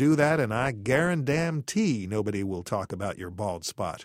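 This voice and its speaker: In a put-on character voice, a man drawls at a moderate pace and medium pitch with very wide pitch swings, captured in a very clean recording with a silent background. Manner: slow, lazy drawl.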